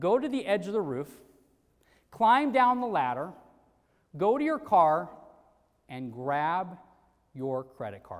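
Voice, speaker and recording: In a room with audible echo, a man at a high pitch speaks at a very slow pace with very wide pitch swings, big swings in loudness and long, frequent pauses. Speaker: sales trainer. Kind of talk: motivational talk. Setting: stage with audience. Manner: animated.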